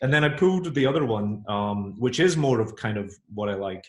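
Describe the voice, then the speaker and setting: The voice is somewhat breathy, with a British accent. It moves at a fairly quick pace. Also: man. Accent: UK. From Scotland. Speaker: author. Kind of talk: interview.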